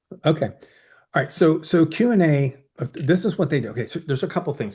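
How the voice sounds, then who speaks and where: Talking at a very fast pace, a man with an American accent uses a fairly high pitch and lively intonation, sounding somewhat breathy over a quiet background. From Southern Maryland, US. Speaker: oral presentation coach. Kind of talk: webinar presentation with Q&A.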